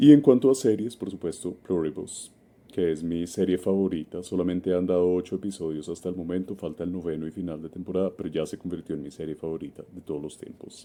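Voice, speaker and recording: A man with a Bogotá accent speaks at a very fast pace with hardly any pauses, his very deep, low voice carrying a dark, mellow tone. His loudness swings widely against a quiet background. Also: ordinary pitch variation. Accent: Bogotá Colombian. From Colombia, Bogotá. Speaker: community contributor. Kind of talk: recorded recommendation message.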